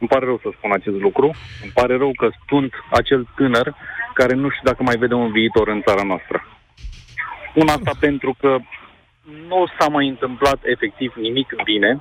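Amid noticeable background noise, a man with a medium pitch and ordinary pitch variation talks at a moderate pace, leaving long, frequent pauses. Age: 20s. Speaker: caller. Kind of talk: phone-in opinion. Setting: phone call. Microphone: line briefly cut out.

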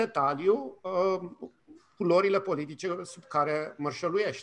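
Speaking at a fairly slow pace, a man uses a raised, projected voice that is high-pitched with a bright, sharp tone. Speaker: communication professor. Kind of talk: radio interview. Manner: hesitant, many fillers.

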